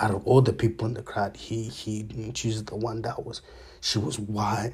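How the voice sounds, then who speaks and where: In a very clean recording with a silent background, a man with a fairly low, somewhat breathy voice speaks at a moderate pace with ordinary pitch variation. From raised abroad from age two, born in Zambia. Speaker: podcast host. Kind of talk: casual monologue. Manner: halting, many fillers.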